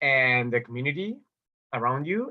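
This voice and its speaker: A man's medium-pitched voice with a Spanish accent. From Spain, Barcelona. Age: 40s. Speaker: business development specialist. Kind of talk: interview answer.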